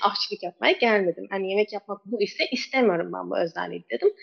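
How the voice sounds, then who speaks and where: Very fast speech comes from a woman with a fairly high pitch. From Turkey, Istanbul (born in Kabul). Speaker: ketogenic nutrition coach. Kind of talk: interview.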